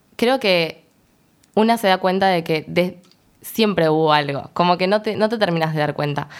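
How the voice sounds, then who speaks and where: On a very clean recording with a silent background, a woman with a plain, everyday voice, fairly low in pitch, speaks at a moderate pace with ordinary pitch variation. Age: 20s. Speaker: education student. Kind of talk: casual chat.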